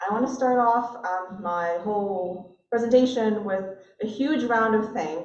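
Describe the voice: A woman speaks at medium pitch and a fairly slow pace, with ordinary pitch variation. Her slightly mellow tone carries strong room echo.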